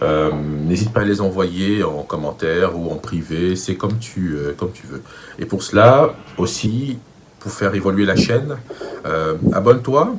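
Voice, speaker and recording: A man speaks with a very deep, low pitch at a fairly slow pace. His intonation is lively, his loudness swings widely, and there is noticeable background noise. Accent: Cameroonian. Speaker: vocal coach. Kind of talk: tutorial.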